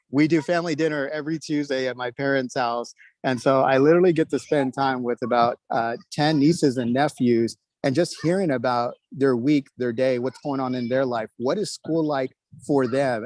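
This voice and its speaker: With an American accent, a man in an unremarkable speaking voice talks at a moderate pace, his fairly high pitch showing ordinary variation, in dry, close sound with no echo and a quiet background. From Texas, New Braunfels. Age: 30s. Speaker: school board candidate. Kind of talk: candidate speech at online meeting. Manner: many fillers (uh, um).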